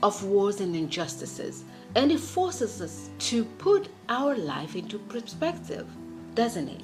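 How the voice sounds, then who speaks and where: A woman speaks with a non-native accent. Music runs in the background. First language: not English. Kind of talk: speech rehearsal. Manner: fast.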